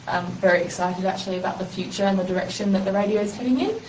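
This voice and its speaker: Very fast and in a flat monotone, a woman speaks at a medium pitch amid noticeable background noise and audible room echo. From South Australia, Adelaide. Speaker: university language student and community radio worker. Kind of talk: interview conversation.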